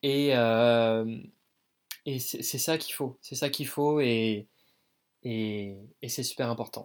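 With long, frequent pauses, a man talks very slowly and keeps his intonation fairly even. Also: medium pitch for a man. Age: 20s. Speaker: dance student. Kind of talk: casual interview.

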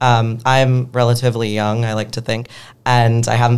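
Speech comes at a moderate pace. It carries an American accent. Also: man. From Pennsylvania, Philadelphia. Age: young. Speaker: activist. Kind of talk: interview conversation.

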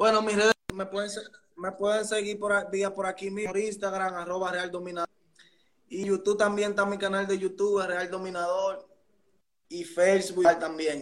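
The man's voice is high-pitched, with monotone, flat intonation. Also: moderate pace. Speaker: musician. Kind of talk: casual interview.

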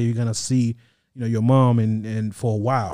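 A man with a dark, mellow tone and medium pitch talks at a fairly quick pace in a very clean recording with a silent background. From Haiti. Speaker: podcast guest. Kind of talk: casual chat.

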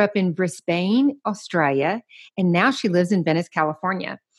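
With a Southern US accent, a woman speaks at a medium pitch in a quiet background. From US South. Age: 50s. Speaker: podcast host. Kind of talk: casual interview.

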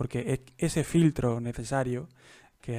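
Heard dry and close with no echo, a man speaks at medium pitch with ordinary pitch variation. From Andalusia, Jaén. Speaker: podcast host. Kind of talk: casual interview.

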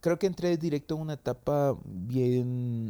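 A man talks very slowly in a dark, mellow tone. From El Salvador, San Salvador. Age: young. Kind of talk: casual interview.

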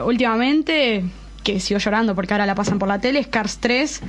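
A woman talks in an Argentine accent with ordinary pitch variation. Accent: Argentine Spanish (Rioplatense). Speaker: YouTuber who reviews series, films and comics. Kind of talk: casual chat. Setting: studio.

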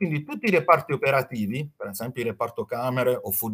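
A man's fairly high-pitched voice. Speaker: hotel finance consultant. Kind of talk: slide presentation, lecture.

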